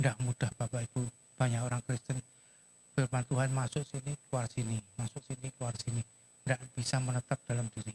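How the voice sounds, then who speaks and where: A soft-spoken man talks in a monotone with flat intonation. The sound is dry and close, with no echo. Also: medium pitch for a man, fairly quick pace. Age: 70s. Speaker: guest preacher. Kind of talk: sermon. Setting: church with PA system.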